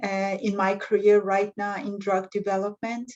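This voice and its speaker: Against a quiet background, a woman with a non-native accent speaks at medium pitch. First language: not English. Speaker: pharmacist in drug development. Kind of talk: panel discussion. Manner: halting.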